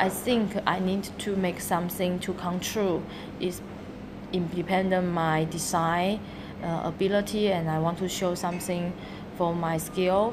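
Over noticeable background noise and audible room echo, a woman with a Chinese accent speaks fairly slowly in a flat monotone. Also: medium pitch for a woman. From Taiwan. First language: Mandarin Chinese. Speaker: architect and coffee shop owner. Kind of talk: interview. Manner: halting.

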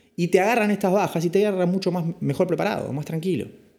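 A man with a high voice talks at a fairly quick pace. His pitch shifts in an ordinary way. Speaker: finance podcast host. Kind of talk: casual explainer podcast.

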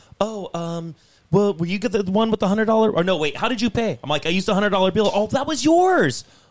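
Noticeable background noise sits under a man's high-pitched voice. His intonation is lively. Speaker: podcast co-host. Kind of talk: angry rant about bad restaurant service, cursing. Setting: studio, several people around a table. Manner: loud, irate, profane, venting and fast-paced.

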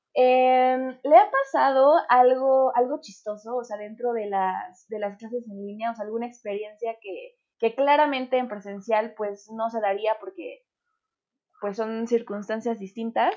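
With a plain, everyday voice, a woman speaks at a fairly slow pace and a fairly high pitch, showing ordinary pitch variation and big swings in loudness. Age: 20s. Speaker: podcast host. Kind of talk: casual chat.

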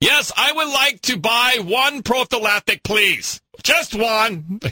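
Using a loud, put-on character voice pitched extremely high, a man speaks at a fairly slow pace, the sound dry and close with no echo. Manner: loud, projecting.

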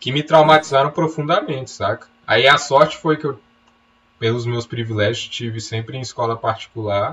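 At a moderate pace, a man talks in an ordinary speaking voice, medium in pitch with ordinary pitch variation. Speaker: podcast co-host, writer. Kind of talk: casual chat.

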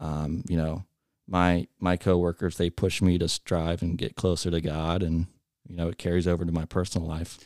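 In a dry, close sound with no echo, a man with an American accent speaks in a very deep, low pitch with monotone, flat intonation. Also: moderate pace. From US Midwest, Cincinnati area, Ohio. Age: 20s. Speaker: high school alumni director. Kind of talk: casual interview. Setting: studio.

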